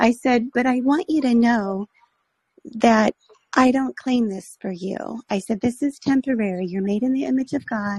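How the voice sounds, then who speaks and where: A woman speaks in a plain, everyday voice, fairly high in pitch, with ordinary pitch variation. Her moderate pace comes through a dry, close sound with no echo. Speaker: caller. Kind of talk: call-in story. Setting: phone call via app.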